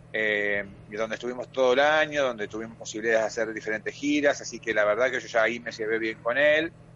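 Keeping his intonation fairly even, a man speaks at a very fast pace. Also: medium pitch for a man. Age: 40s. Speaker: stage actor. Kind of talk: radio interview.

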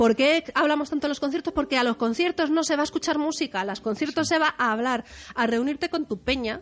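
With a high pitch and ordinary pitch variation, this woman races along at a very fast pace. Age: 30s. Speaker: music journalist. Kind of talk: casual chat.

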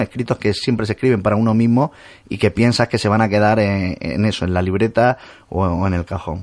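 The sound is dry and close with no echo, and the pitch varies an ordinary amount. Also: man, quiet background. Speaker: radio host. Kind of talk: radio interview. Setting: radio studio.

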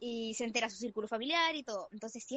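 A woman talks at a very fast pace and a high pitch. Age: 18. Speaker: former beauty pageant contestant. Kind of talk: casual chat. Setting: remote call from home.

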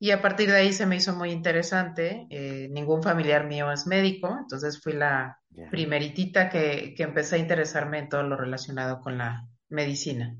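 The voice moves at a moderate pace with hardly any pauses, ordinary pitch variation and big swings in loudness, with audible room echo. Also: woman, very deep, low pitch for a woman. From Mexico City. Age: 40s. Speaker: psychiatrist. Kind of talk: interview.

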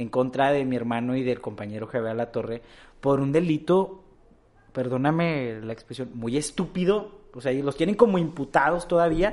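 In an unremarkable speaking voice, a man talks at a moderate pace, his pitch fairly high and his intonation lively. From Mexico, Torreón (Coahuila). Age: 20s. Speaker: young politician and activist. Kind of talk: interview.

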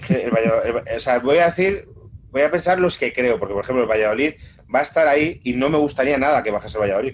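A man talks at a very fast pace with a fairly high pitch. His intonation is lively. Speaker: podcast co-host. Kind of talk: casual chat.

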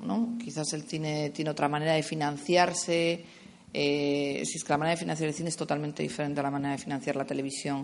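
With a very deep, low pitch and ordinary pitch variation, a woman talks at a very fast pace. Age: 30s. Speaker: production coordinator. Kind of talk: festival talk with audience Q&A.

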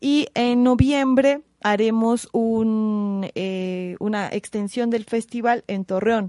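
A woman with a fairly high pitch and a dark, mellow tone speaks at a very slow pace with fairly even intonation. The sound is dry and close, with no echo. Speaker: clown. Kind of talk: casual chat.

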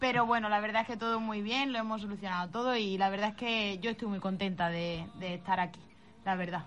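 A normal speaking voice, fairly fast and fairly even in intonation. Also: woman, medium pitch for a woman. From Spain, Málaga province. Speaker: psychic medium. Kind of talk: interview. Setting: radio studio.

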